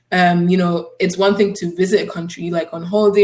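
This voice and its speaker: The voice is somewhat breathy and monotone, with flat intonation. It moves at a fairly quick pace. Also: woman. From Scotland. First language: German. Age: 20s. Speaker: student. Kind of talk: conference talk.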